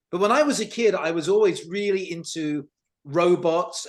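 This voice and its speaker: With lively intonation, a man speaks in a British accent. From United Kingdom. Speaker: tech company CEO. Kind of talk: talk presentation. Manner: animated.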